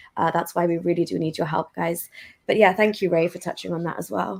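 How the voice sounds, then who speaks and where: A woman in a British accent, fairly low-pitched and monotone with flat intonation, on a very clean recording with a silent background. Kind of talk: casual interview chat.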